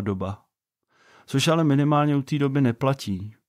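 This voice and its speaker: A man's fairly high voice with lively intonation and a Vysočina accent. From Czech Republic, Vysočina region. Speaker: podcast host, father and software developer. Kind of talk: podcast introduction monologue. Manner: casual, conversational.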